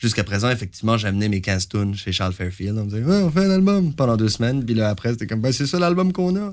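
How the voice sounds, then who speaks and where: With a Canadian French accent, a man of medium pitch races at a very fast pace with hardly any pauses and very wide pitch swings, in a very clean recording with a silent background. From Franco-Ontarian Canada. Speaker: singer-songwriter. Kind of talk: interview.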